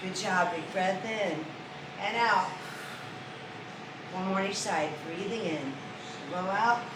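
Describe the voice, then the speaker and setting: Amid noticeable background noise and audible room echo, a woman speaks in a calm tone at a very slow pace with long, frequent pauses, her medium pitch showing ordinary variation. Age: 50s. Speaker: fitness instructor. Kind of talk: exercise class instruction. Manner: slow, calm breathing cues.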